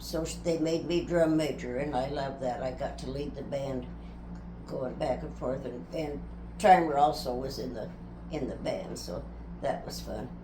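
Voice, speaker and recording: A woman's moderately paced speech carries audible room echo amid noticeable background noise. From US Midwest, rural Nebraska. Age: 90s. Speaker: interviewee recounting life story. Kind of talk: family life interview.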